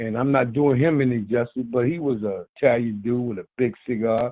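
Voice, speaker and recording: At a moderate pace, a man speaks with fairly even intonation in a medium pitch. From North Carolina. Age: 60s. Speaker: caller, military veteran. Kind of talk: casual chat.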